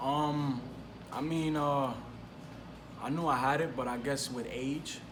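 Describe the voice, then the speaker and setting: At a fairly slow pace, a man speaks with a fairly high pitch, amid audible room echo and noticeable background noise. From New York City (Brooklyn, Bushwick; Lower East Side). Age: 20s. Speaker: professional boxer. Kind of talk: interview.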